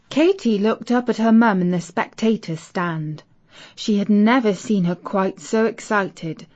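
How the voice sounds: The voice is a natural reading voice. It has ordinary pitch variation.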